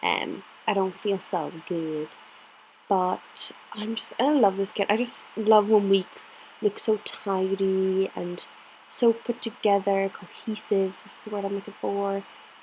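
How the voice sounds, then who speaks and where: Someone with an Irish accent talks very slowly with fairly even intonation and big swings in loudness, against noticeable background noise. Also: woman, medium pitch for a woman. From Ireland, County Clare. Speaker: planner vlogger. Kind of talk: casual chat.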